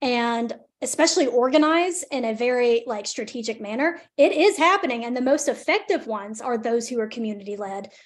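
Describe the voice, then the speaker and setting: In a Southern US accent, a woman speaks at a fairly quick pace with a high pitch and hardly any pauses. Her intonation is lively, and the background is quiet. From northern Alabama, near Decatur. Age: 20s. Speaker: environmental justice advocate, presenter. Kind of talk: webinar Q&A. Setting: video call, live streamed.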